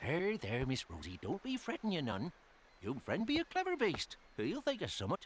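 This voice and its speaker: This is a cartoonish character voice with a warm tone. It moves at a moderate pace. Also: man, high pitch for a man. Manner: warm, folksy.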